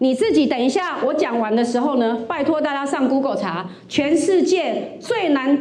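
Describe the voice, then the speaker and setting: A woman with a high pitch speaks at a moderate pace with lively intonation. Noticeable background noise runs under her voice. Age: 50s. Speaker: stand-up comedian and college lecturer. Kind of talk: stand-up comedy set at an open mic. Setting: stage with audience.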